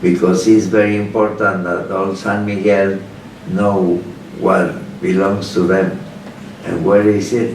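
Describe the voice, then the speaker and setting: With a Spanish accent and a fairly low pitch, a man speaks with long, frequent pauses amid noticeable background noise and audible room echo. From Mexico, Guanajuato. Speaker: lawyer. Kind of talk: interview. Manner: halting.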